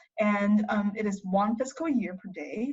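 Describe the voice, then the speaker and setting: Somewhat breathy, a woman speaks at a medium pitch in a Chinese accent. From China. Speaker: college student. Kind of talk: interview.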